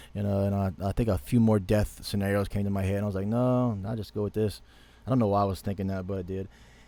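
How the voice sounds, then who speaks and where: In an American accent, a man talks very fast with a fairly low pitch and a dark, mellow tone. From US South, Louisiana. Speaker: online dream and vision sharer. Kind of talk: dream testimony. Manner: halting, repetitive.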